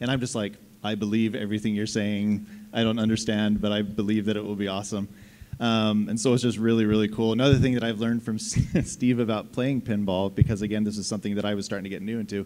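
The speaker is a man with a fairly low pitch. He talks at a very fast pace. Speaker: game writer; panelist. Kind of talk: convention panel talk. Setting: stage with audience. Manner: animated. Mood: jokey, warm. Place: hall. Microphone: handheld.

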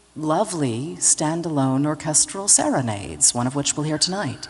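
Noticeable background noise accompanies a woman's voice. She talks at a moderate pace with very wide pitch swings. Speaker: radio host moderating pre-concert talk. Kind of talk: pre-concert interview. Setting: stage with audience.

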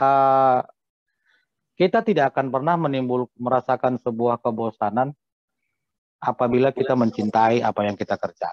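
Recorded dry with no echo over a quiet background, a man speaks at a moderate pace. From North Sumatra, Simalungun (Pematang Siantar); North Sumatra. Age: 40s. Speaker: hotel manager; guest. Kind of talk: interview. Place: home room. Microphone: video call.

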